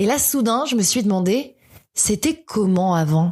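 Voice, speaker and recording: A plain, everyday voice from a woman at medium pitch, fairly slow with lively intonation, on a very clean recording with a silent background. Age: 30s. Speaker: podcaster. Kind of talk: personal podcast monologue. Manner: reflective, nostalgic.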